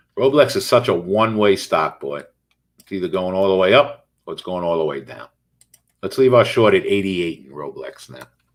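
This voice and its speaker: A man at a fairly quick pace with big swings in loudness. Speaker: day trading instructor. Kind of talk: live trading commentary. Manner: fast; animated.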